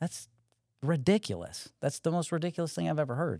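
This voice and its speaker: Using an unremarkable speaking voice, a man with an American accent talks at a fairly quick pace with lively intonation. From Connecticut. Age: 40s. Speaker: Marine officer and veteran. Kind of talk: casual chat.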